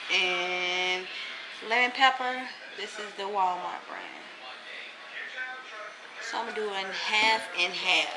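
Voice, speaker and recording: A woman speaks against loud background noise. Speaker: lifestyle vlogger. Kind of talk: casual vlog chat. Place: kitchen. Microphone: phone near.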